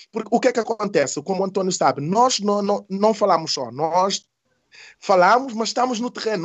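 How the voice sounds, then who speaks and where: The speaker's intonation is lively. The pace is fairly quick. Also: man. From Senegal (Casamance). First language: not Portuguese; learned it as adult (speaking Portuguese). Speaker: community activist and mediator. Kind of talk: interview conversation. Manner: halting, repeating words.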